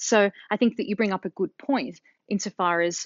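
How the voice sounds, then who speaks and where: A woman with an Australian accent speaks at a moderate pace in a medium-pitched voice, her pitch varying in an ordinary way. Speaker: linguist and author. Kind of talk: interview.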